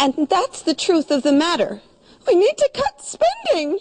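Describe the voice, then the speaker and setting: Someone puts on a nervous, strained character voice at an extremely high pitch. The pace is moderate. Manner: wavering, nervous.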